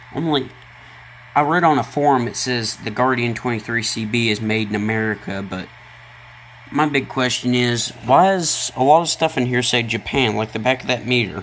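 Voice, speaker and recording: A man with a Tennessee accent at a moderate pace, over noticeable background noise. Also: medium pitch for a man, ordinary pitch variation. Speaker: hobbyist video maker, radio tinkerer. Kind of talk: casual tutorial.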